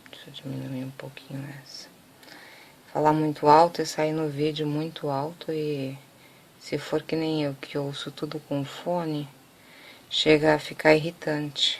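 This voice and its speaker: A soft-spoken woman with a very deep, low pitch, monotone, flat intonation, big swings in loudness, a fairly slow pace and long, frequent pauses. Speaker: craft tutorial maker. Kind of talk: tutorial.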